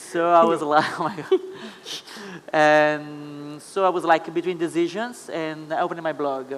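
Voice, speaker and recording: A man speaks with an Italian accent at a moderate pace. His pitch is fairly high. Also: fairly even intonation. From Italy. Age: 20s. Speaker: Instagram influencer. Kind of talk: panel talk. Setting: stage with audience.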